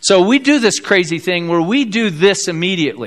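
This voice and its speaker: High in pitch, a man speaks with lively intonation. He has a Midwestern American accent. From US Midwest, South Bend, Indiana. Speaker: pastor. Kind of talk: sermon. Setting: church.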